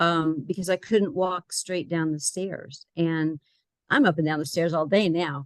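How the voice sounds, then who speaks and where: In a dry, close recording with no echo and a quiet background, a woman speaks with a fairly low pitch in an ordinary speaking voice. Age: 60s. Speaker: client giving a health program testimonial. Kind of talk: testimony.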